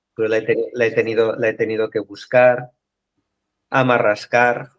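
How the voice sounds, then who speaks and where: A man's medium-pitched voice with a Catalan accent, at a moderate pace, flat and monotone in intonation. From Catalonia, Spain. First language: Catalan (speaking Spanish). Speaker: book club member. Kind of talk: casual group discussion. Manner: halting.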